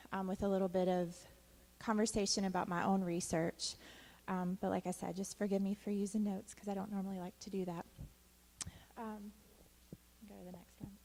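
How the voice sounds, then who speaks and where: A woman speaks softly. Her pitch is medium. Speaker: doctoral student and clinical social worker. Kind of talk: conference talk. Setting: conference stage at podium. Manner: soft-spoken.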